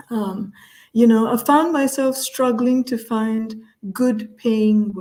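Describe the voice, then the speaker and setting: The voice is dark and mellow, moving at a very slow pace with fairly even intonation. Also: woman, fairly high pitch for a woman. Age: 60s. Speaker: culture consultant, interview guest. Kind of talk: video call group chat. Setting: video call. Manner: slow, deliberate; hesitant, many fillers.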